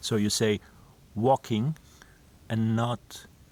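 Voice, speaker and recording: At a very slow pace, a man speaks at a medium pitch in a dry, close sound with no echo. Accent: non-native. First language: not English. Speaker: vlogger. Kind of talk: casual vlog monologue. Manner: halting, with fillers and restarts.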